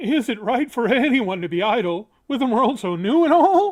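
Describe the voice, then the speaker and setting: At a moderate pace, a put-on character voice pitched fairly high. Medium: read story.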